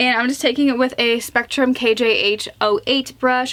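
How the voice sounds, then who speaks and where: Moderate pace over noticeable background noise. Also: woman. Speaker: beauty vlogger. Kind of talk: tutorial; casual chat. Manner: chatty.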